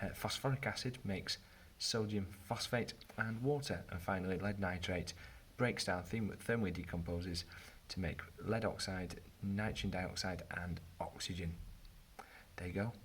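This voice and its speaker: A somewhat breathy voice in a British accent, with ordinary pitch variation and long, frequent pauses. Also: man. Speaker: chemistry teacher. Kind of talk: tutorial. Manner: fast.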